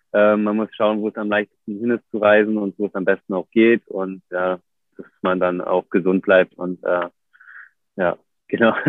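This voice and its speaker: This man's voice is fairly low and monotone, with flat intonation. He speaks at a moderate pace. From Germany, Berlin. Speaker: professional big wave surfer. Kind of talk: casual interview. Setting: video livestream. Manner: hesitant, many fillers.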